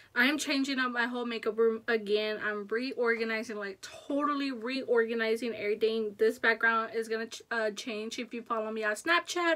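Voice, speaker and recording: A woman with a fairly high voice speaks at a fairly quick pace with hardly any pauses and fairly even intonation. Noticeable background noise is present. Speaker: beauty YouTuber. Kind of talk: casual haul video talk. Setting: home makeup room. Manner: soft, hushed.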